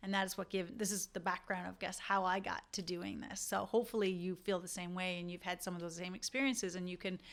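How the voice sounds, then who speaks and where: A woman speaking at a fairly quick pace. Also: very clean recording, silent background. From Canada, rural Newfoundland. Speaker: dentist. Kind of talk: podcast monologue.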